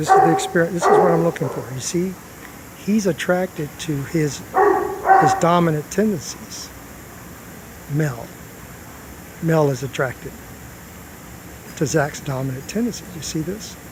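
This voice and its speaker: A man talks at a moderate pace and a fairly high pitch, with ordinary pitch variation. Long, frequent pauses break up his speech over noticeable background noise. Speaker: dog trainer. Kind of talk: live commentary explaining dog behavior. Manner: soft-spoken.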